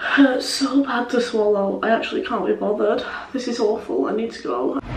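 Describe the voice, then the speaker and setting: Audible room echo surrounds a woman whose voice sounds strained. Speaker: vlogger. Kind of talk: casual vlog chat. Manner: weak, strained voice, ill and dizzy. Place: bathroom. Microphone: phone near.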